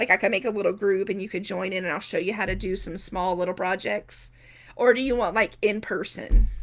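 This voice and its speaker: A woman's medium-pitched voice at a fairly quick pace with fairly even intonation. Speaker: quilter and small business owner. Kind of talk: live stream chat with viewers. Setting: Facebook live video stream. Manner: fast.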